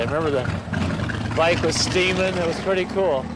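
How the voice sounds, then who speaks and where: Here a man is speaking. Background noise is noticeable. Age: 50s. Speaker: motorcyclist. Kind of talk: interview.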